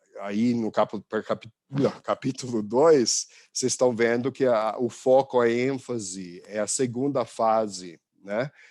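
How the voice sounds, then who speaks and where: A man speaks with an English accent at a medium pitch. The sound is dry and close with no echo, in a very clean recording with a silent background. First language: English (speaking Portuguese). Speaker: visiting professor. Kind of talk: lecture. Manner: halting, many fillers and restarts.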